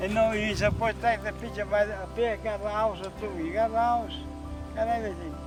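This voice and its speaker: A man speaks very fast over music in the background. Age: 80s+. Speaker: farmer and retired barber. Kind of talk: casual conversation. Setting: outdoors.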